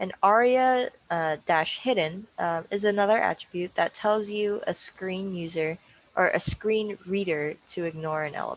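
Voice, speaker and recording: This woman speaks at a fairly slow pace with hardly any pauses, her medium pitch showing ordinary variation in a normal speaking voice. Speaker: workshop instructor. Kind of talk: tutorial.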